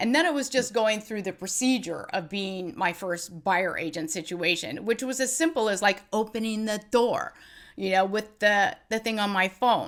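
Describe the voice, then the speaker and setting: A woman with a plain, everyday voice speaks at a medium pitch and a moderate pace, with lively intonation. The recording is very clean, with a silent background. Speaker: real estate agent, former attorney. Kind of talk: interview.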